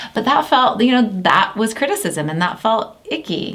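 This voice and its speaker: An animated woman's voice with lively intonation and noticeable background noise. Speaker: business founder and CEO. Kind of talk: casual chat. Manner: fast.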